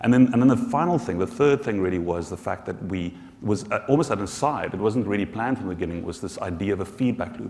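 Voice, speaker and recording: Over noticeable background noise, a man with a South African accent talks at a very fast pace with lively intonation and a fairly low pitch. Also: hardly any pauses. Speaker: social enterprise founder. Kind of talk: conference panel discussion. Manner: halting, many repetitions.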